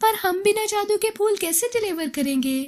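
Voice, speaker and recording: In a put-on character voice, a female-sounding speaker goes squeaky and extremely high in pitch at a moderate pace. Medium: cartoon.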